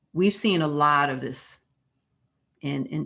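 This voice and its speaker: Speaking at a fairly slow pace, a woman with a very deep, low pitch shows vocal fry. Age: 80s+. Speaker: yoga teacher. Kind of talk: talk on yoga philosophy. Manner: halting.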